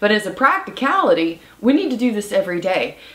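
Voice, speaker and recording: With noticeable background noise behind her, a woman speaks at a fairly high pitch with very wide pitch swings. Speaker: nurse and preparedness video host. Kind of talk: instructional vlog talk.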